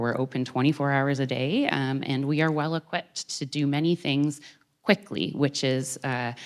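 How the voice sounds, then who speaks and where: A woman's voice, very deep and low in pitch. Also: very clean recording, silent background. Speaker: emergency physician. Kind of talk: public talk. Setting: stage with audience. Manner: fast.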